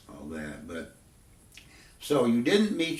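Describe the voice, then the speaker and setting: A man's medium-pitched voice in an American accent, with lively intonation and noticeable background noise. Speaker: interviewer. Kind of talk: interview questions.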